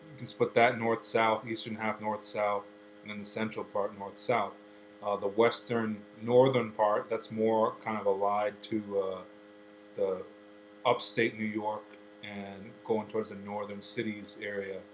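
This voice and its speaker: A man with a Connecticut accent talks at a fairly slow pace in a monotone, flat delivery, with long, frequent pauses. Noticeable background noise sits behind him. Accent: Connecticut American. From north central Connecticut, USA. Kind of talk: accent archive recording, casual talk to camera.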